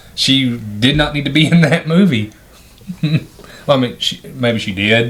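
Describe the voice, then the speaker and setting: Noticeable background noise surrounds a man with a medium-pitched voice and lively intonation. He talks at a fairly slow pace, leaving long, frequent pauses. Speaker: movie review podcast co-host. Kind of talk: casual chat, movie review.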